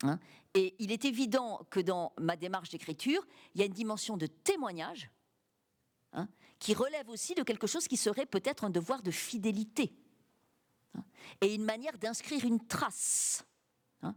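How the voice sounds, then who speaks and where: A woman with a fairly high pitch and lively intonation, at a moderate pace with long, frequent pauses, on a very clean recording with a silent background. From France, Cantal (rural Auvergne). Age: 60s. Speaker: writer and teacher. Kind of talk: public interview. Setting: university library with audience.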